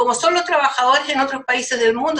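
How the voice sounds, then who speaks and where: In a Chilean accent, a woman speaks with a raised, projected voice at a high pitch. Her tone is bright and sharp, her intonation lively. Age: 70s. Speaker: community activist. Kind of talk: podcast discussion. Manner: animated.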